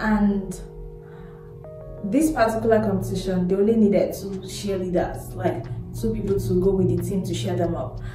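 A woman speaks at a moderate pace amid audible room echo, with clear music in the background. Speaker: vlogger. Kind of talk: casual vlog chat. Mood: reflective, earnest. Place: home room. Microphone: phone near.

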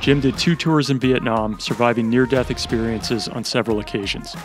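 Clear music plays behind a man who speaks at a moderate pace with fairly even intonation, the sound dry with no echo. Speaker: podcast host. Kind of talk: scripted intro then interview questions. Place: home room. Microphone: studio mic.

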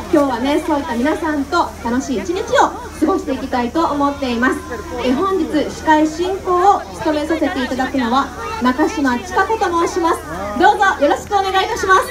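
Crowd noise fills the background as a woman talks at a fairly quick pace. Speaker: event host. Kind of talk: event emcee announcement. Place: stage.

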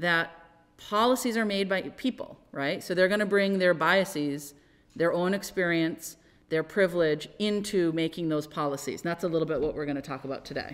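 An unremarkable speaking voice from a woman, fairly low in pitch, at a moderate pace. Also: ordinary pitch variation. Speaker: local board member on a panel. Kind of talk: panel talk. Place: hall.

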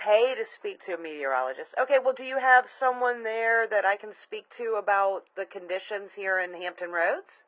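Moving at a moderate pace with hardly any pauses, a woman speaks with big swings in loudness. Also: quiet background. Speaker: caller. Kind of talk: phone conversation. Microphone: phone line.

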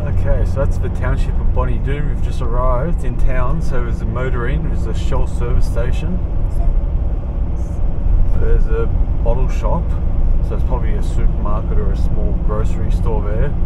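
A man talks at a moderate pace, with long, frequent pauses. Loud background noise runs behind him. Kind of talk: casual travel commentary. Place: car. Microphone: camera far.

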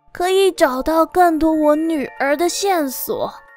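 A woman talks at a very slow pace and a high pitch, with ordinary pitch variation. Music plays in the background, and the sound is dry with no echo. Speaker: storyteller narrator. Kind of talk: story narration with character voices.

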